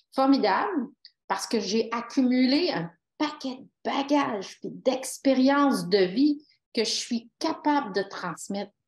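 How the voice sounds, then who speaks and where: A woman speaks at a very slow pace in a high pitch. Her intonation is lively, and her loudness swings widely. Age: 60s. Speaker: retired police officer and author. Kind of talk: interview.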